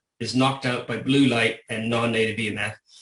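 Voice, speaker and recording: A man's medium-pitched voice has a bright, sharp tone and a moderate pace. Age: 60s. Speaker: health practitioner. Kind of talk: video call presentation.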